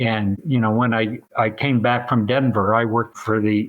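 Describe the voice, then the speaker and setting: A man with an American accent, talking at a moderate pace. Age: 60s. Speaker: home repair franchise company president. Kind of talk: casual chat. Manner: halting, frequent repetitions.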